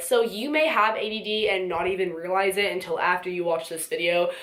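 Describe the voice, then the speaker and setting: The speaker moves at a fairly quick pace with lively intonation over noticeable background noise. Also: woman. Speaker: vlogger. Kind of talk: casual talk to camera. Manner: fast.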